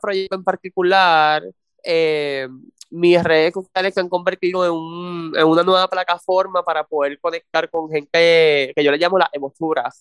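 A man with a Puerto Rican accent, high in pitch, fairly even in intonation, at a fairly slow pace. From Puerto Rico, south coast (Salinas). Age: 20s. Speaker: actor and TV news producer. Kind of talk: interview.

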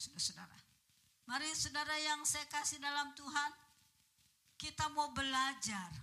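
A woman speaks at a fairly slow pace in a raised, projected voice with a bright, sharp tone, her high pitch showing ordinary variation. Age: 70s. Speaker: preacher. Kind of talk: sermon. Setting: church. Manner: animated.

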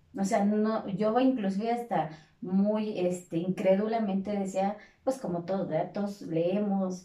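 Amid noticeable background noise, a woman speaks at medium pitch and a moderate pace, her pitch varying in an ordinary way. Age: 40s. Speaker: fitness instructor. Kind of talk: casual interview chat.

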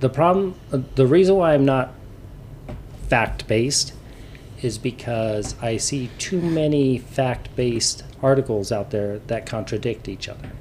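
This is an ordinary speaking voice, a man at medium pitch. He talks at a fairly slow pace. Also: lively intonation. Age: 50s. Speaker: podcast co-host. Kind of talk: casual chat.

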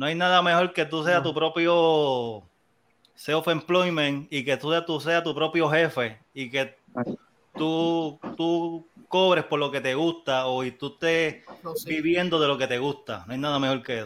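Speaking in a plain, everyday voice, a man with a fairly high pitch talks at a fairly slow pace with ordinary pitch variation, recorded very cleanly against a silent background. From Puerto Rico, Las Piedras. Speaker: music producer and DJ. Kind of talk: casual chat.

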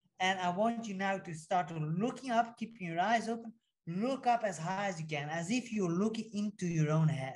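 A man speaks with a high pitch in a soothing tone. His pitch varies in an ordinary way. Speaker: former pro fighter and hypnosis mindset coach. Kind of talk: guided breathwork hypnosis induction. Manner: slow, soothing, hypnotic, directive; rhythmic, powerful cues during breathing.

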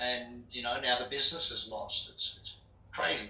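Audible room echo and noticeable background noise surround the recording. A man speaks with an American accent. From Australia (Brisbane). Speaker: business coach and entrepreneur. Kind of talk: interview. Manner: blunt, direct.

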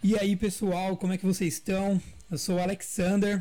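Moderate in pace, a man's high-pitched voice carries a dark, mellow tone. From interior of São Paulo state, Brazil. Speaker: podcast host, account executive. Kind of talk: casual chat.

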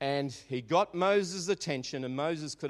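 In an Australian accent, a man speaks at a moderate pace with lively intonation. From Australia, Melbourne (Maribyrnong). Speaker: pastor. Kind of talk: sermon. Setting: church.

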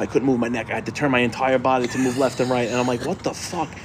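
Against noticeable background noise, a man speaks very fast at a medium pitch with monotone, flat intonation. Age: 40s. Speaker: podcast co-host. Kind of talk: casual chat. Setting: garage.

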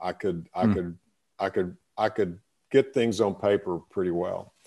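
Someone talks at a moderate pace with a Texan accent. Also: man. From Texas. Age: 60s. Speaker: retired business owner and author. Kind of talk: interview. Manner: halting, many repetitions.

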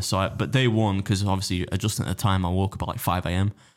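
Talking very fast at a very deep, low pitch, a man with an English accent shows ordinary pitch variation on a very clean recording with a silent background. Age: 30s. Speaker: competitive eater and food youtuber. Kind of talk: casual chat. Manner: animated.

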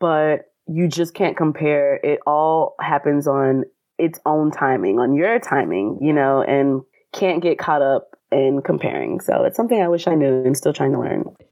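A woman speaks at a moderate pace with an American accent and very even loudness. Her pitch is very deep and low, yet her intonation is lively. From US South (Atlanta, Georgia). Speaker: actor. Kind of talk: casual interview.

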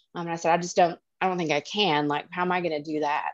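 A woman speaks in an Alabama accent at a fairly quick pace with a fairly low pitch. The sound is dry and close with no echo, over a quiet background. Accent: Southern US (Alabama). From Alabama, US South. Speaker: family law attorney. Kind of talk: casual interview. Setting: at the beach, remote.

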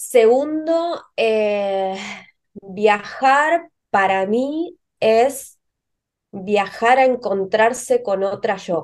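A woman talks very slowly in a Rioplatense accent. Her pitch sits fairly high and her intonation is lively. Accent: Argentine Rioplatense Spanish. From Argentina, Río Negro. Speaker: pharmacist and herbal medicine entrepreneur. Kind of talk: interview.

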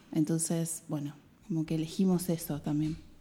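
With a Rioplatense accent, a woman talks at a fairly low pitch with fairly even intonation while music plays in the background. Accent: Argentine Rioplatense Spanish. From Argentina, Mar del Plata. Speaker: biologist and women's health educator. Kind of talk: radio interview.

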